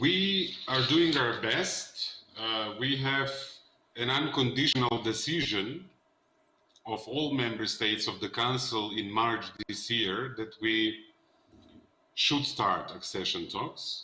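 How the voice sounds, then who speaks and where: A man with a Macedonian accent, speaking very slowly, with audible room echo. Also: medium pitch for a man, ordinary pitch variation. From North Macedonia. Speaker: politician. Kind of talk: panel discussion.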